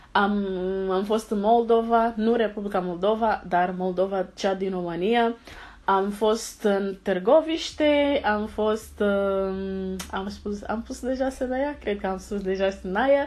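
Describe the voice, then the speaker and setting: Speaking at a very slow pace with ordinary pitch variation, a woman has a Portuguese accent. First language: Portuguese (speaking Romanian). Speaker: vlogger, engineering student; vlogger. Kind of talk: casual vlog Q&A. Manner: halting, many hesitations. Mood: cheerful, animated.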